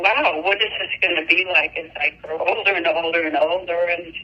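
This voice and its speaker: Against noticeable background noise, a woman with a fairly low pitch talks at a fairly slow pace with fairly even intonation. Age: 60s. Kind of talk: interview. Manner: halting.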